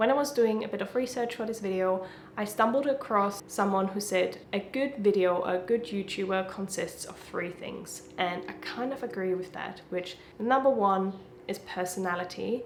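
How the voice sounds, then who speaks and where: A woman with a German accent speaks at a moderate pace, her medium pitch showing ordinary variation. Noticeable background noise and audible room echo fill the recording. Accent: German accent, lighter than before. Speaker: YouTuber. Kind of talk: casual talk to camera, advice.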